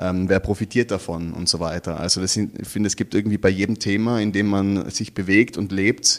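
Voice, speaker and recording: A man with an ordinary speaking voice talks at a moderate pace, his pitch fairly low and his intonation fairly even. The recording is very clean, with a silent background. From Austria, Tyrol (Innsbruck). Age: 30s. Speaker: artist and activist. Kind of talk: interview.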